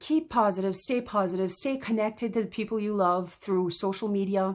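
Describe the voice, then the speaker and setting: A woman speaks with a slight French accent in a medium-pitched voice with ordinary pitch variation. The recording is very clean, with a silent background. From French-speaking region. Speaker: crafter tutorial host. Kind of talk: tutorial. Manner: halting, many fillers.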